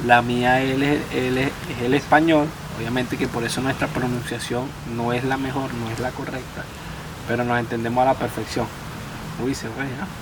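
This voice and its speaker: A man's monotone, flat delivery at medium pitch and moderate pace, with long, frequent pauses, audible room echo, and noticeable background noise. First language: Spanish (speaking French). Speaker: immigrant French learner. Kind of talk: casual chat. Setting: outdoors at a campsite. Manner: halting, with many restarts and repetitions.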